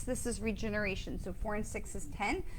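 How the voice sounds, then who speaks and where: Audible room echo around a woman speaking with ordinary pitch variation. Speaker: psychic medium. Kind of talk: live stream card reading. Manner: fast; animated.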